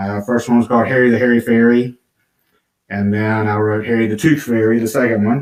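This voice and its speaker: A man with a Georgia accent and monotone, flat intonation. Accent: Southern American (Georgia). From US South, southwest Georgia. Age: 50s. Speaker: children's book author. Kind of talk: podcast interview. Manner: casual, hesitant with fillers.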